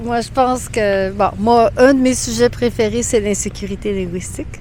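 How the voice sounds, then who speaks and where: A woman at a fairly slow pace, against noticeable background noise. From New Brunswick, Canada (Edmundston). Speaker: Quebec French teacher. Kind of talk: casual interview chat.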